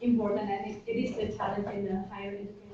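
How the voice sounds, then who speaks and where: A woman is talking. Her voice carries audible room echo. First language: not English. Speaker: student, seminar audience member. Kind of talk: audience question in seminar. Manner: halting, many fillers.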